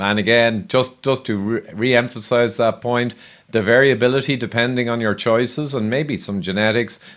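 A man with an Irish accent and fairly even intonation, against a quiet background. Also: moderate pace. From Ireland. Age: 50s. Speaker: health podcast host. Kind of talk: interview. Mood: friendly, engaged. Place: home room. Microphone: studio mic.

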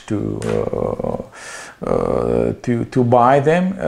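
A man speaks with a Slovenian accent. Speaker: small electronics seller. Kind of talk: product demonstration. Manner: halting. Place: office.

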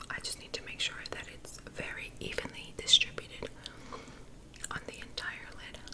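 A woman whispers with big swings in loudness. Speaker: ASMR creator and makeup tutorial host; ASMR creator, makeup tutorial host. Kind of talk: ASMR makeup tutorial talking to camera. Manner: soft, whispery, slow. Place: home room.

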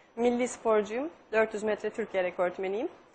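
A woman speaks at a moderate pace in a fairly high pitch. Loud background noise fills the recording. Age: 20s. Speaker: quiz show contestant, athlete. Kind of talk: TV quiz show conversation. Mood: calm, slightly proud. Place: studio. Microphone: lapel.

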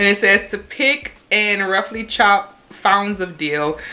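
A woman with a Louisiana accent and ordinary pitch variation. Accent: Louisiana Southern US. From US South, Louisiana. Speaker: YouTuber. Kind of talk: casual cooking vlog. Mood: upbeat, pleased. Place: kitchen. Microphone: phone near.

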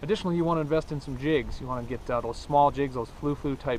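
A man speaks with ordinary pitch variation. The sound is dry with no echo, over light background noise. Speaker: outdoor show host. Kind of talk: tutorial. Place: waterside.

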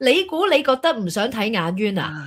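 Pitch swings are very wide. The speech moves at a fairly quick pace. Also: woman, quiet background. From Hong Kong. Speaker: talk show co-host. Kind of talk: casual chat. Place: home room. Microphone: studio mic.

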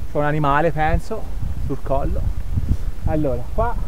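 Over noticeable background noise, a man talks at a fairly slow pace in a dry sound with no echo. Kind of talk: casual vlog chat. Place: open country. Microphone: phone near.

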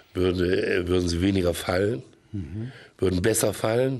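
Very deep, low male voice with lively intonation. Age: old. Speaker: actor and film producer; actor. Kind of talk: comedic TV interview. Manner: halting. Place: studio. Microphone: studio mic.

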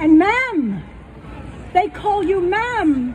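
Light noise hums in the background while a woman talks. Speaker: poet. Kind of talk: poem reading, reflective. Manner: slow, measured, wistful. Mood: wry, humorous. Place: stage.

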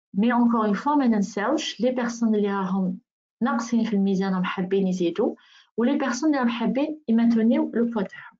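At a fairly slow pace, a woman with an ordinary speaking voice and a fairly high pitch speaks with ordinary pitch variation and very even loudness. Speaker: nutritionist and wellness consultant. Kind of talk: webinar presentation.

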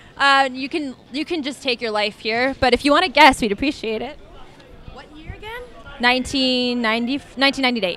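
A woman's raised, projected voice with an American accent, high in pitch with ordinary pitch variation, fairly slow, with big swings in loudness, a dry sound with no echo, and light background noise. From US. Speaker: quiz podcast host. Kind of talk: street quiz game. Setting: outdoors. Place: street.

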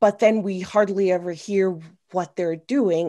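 A woman with an American accent at a fairly slow pace, ordinary pitch variation, against a quiet background. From US Northeast, New York City. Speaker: army veteran and paddle sports media producer; guest. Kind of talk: panel discussion. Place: home room. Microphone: webcam.

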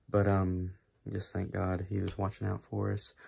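A man speaks in a fairly low, somewhat breathy voice with a dark, mellow tone over a quiet background. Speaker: YouTuber. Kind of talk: vlog. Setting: at home late at night. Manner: hushed, keeping voice down; hesitant, many fillers. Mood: disappointed, stunned. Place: home room. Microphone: phone near.

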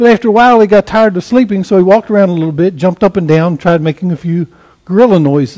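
Unforced reading voice with pitch that varies in an ordinary way

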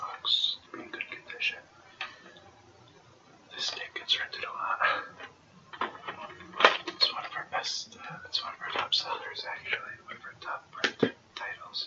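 A man whispering at a moderate pace, with long, frequent pauses. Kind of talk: ASMR role-play as a video store clerk, whispered. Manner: whispered, soft-spoken.

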